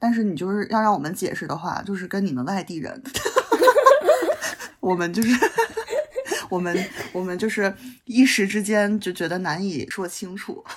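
Over noticeable background noise, a woman talks with a slight northeastern Chinese accent and ordinary pitch variation. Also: medium pitch for a woman, moderate pace. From Northeast China, Changchun (Jilin). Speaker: podcast guest. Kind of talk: casual chat.

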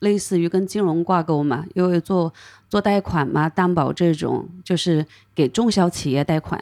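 In a dry, close sound with no echo and a very clean recording with a silent background, a plain, everyday voice talks at a moderate pace. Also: woman. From China, Hunan. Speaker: craft brewery co-owner. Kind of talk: casual chat.

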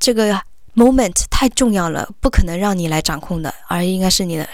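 At a fairly quick pace, a woman talks in a medium pitch. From Hunan, Hengyang. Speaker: headhunter. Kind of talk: interview. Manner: halting.

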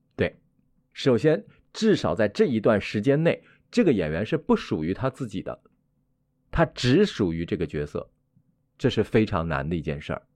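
Over a quiet background, a man with a medium-pitched voice and vocal fry speaks at a moderate pace, his pitch swinging very widely between long, frequent pauses. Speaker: theatre director. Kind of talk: interview chat.

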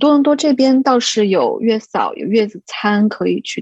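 A woman's somewhat breathy, fairly high voice shows ordinary pitch variation, recorded dry and close with no echo. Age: 30s. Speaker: expectant mother, education administrator. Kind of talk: casual group chat. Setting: online group recording.

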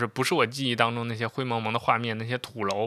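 A man's bright, sharp tone comes across on a very clean recording with a silent background. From China, Xi'an (Shaanxi). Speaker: podcast host, TV drama commentator. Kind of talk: casual monologue. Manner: relaxed, unscripted with filler sounds.

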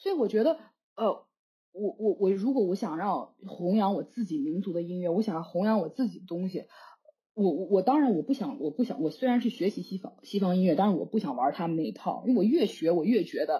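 This woman talks fairly quickly in a medium-pitched, somewhat breathy voice with a dark, mellow tone and lively intonation. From China. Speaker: jazz flute student. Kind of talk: casual chat.

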